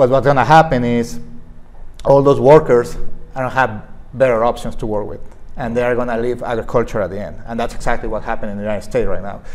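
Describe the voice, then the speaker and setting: At a very fast pace, a man with a Spanish accent talks at medium pitch with fairly even intonation. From Mexico. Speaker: veterinarian and staffing agency director. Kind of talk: interview. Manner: halting. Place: studio. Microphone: lapel.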